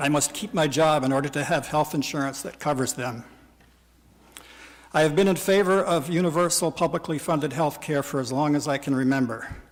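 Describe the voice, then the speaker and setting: Using a normal speaking voice, a man talks fairly high in pitch with ordinary pitch variation. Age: 60s. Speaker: citizen testifying at a legislative hearing. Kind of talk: public testimony. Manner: formal.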